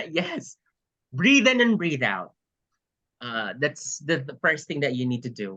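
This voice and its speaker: Delivered in a Filipino accent, the speech moves fairly slowly. Long pauses come often. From Philippines. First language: Tagalog. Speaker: pageant coach and English teacher. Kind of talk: training workshop.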